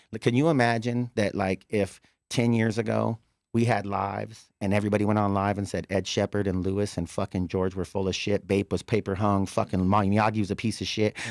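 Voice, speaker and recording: The recording is very clean with a silent background and a dry, close sound with no echo, as a man with a fairly low pitch talks at a fairly quick pace. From California. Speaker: bully dog breeder. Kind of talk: casual chat. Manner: animated.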